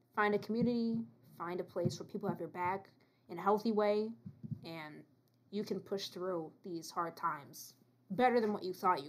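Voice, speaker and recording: Pausing long and often, a woman with a medium pitch talks at a moderate pace, her loudness swinging widely and her pitch varying in an ordinary way. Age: 20s. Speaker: returning podcast guest, student. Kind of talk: casual chat.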